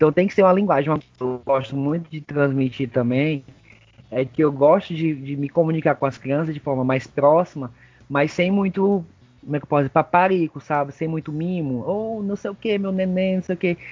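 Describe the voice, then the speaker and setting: A man with an ordinary speaking voice keeps a moderate pace, his pitch varying an ordinary amount. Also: fairly high pitch for a man. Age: 30s. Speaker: kindergarten teacher. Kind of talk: casual interview.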